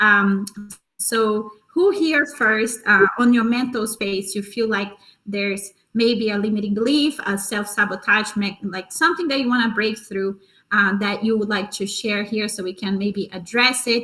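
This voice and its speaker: Her bright, sharp tone sits at a fairly high pitch, and this woman's pitch varies in an ordinary way. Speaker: wellness coach and former tennis player. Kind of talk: workshop talk. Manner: fast.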